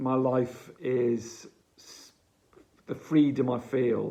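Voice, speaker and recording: Spoken very slowly in an English accent, the voice has a dark, mellow tone and monotone, flat intonation. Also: man. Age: 60s. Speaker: addiction recovery advocate. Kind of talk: advice monologue to camera. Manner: halting.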